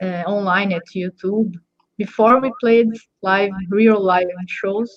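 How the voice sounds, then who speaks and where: In a Portuguese accent, a woman speaks very slowly at a medium pitch with fairly even intonation. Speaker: drummer. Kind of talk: casual chat.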